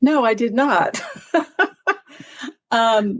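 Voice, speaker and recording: A woman's voice with lively intonation. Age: 60s. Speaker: trauma recovery coach and author. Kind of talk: personal testimony in interview.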